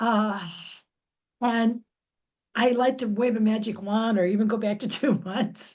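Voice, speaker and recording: A somewhat breathy woman at a fairly high pitch, with a fairly slow pace, monotone, flat intonation and long, frequent pauses. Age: 70s. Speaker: audience member asking a question. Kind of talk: audience Q&A question. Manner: halting.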